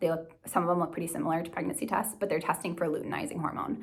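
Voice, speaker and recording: Low for a woman, her voice carries vocal fry. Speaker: nurse practitioner and vlogger. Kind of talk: casual tutorial. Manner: fast.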